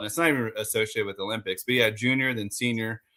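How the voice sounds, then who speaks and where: Here a man speaks with an American accent at a medium pitch. His tone is bright and sharp, with ordinary pitch variation. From Las Vegas, Nevada, US. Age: 40s. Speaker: motorcycle racer. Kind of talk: interview.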